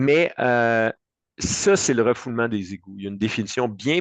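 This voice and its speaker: In a Quebec accent, a man with a medium pitch speaks with lively intonation, the sound dry and close with no echo. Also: quiet background. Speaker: insurance broker. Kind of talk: expert panel discussion. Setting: web radio show. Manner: fast.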